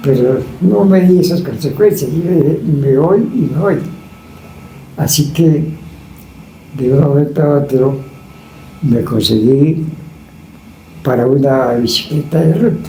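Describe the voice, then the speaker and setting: A man's fairly high voice at a very slow pace, with long, frequent pauses, ordinary pitch variation and very even loudness, amid audible room echo and noticeable background noise. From Colombia, Chiquinquirá, Boyacá. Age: 80s+. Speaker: retired cyclist. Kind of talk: interview, life story.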